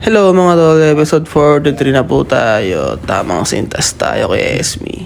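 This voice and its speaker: A man at a fairly slow pace with hardly any pauses, over noticeable background noise. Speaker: vlogger. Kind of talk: vlog voiceover narration. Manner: casual.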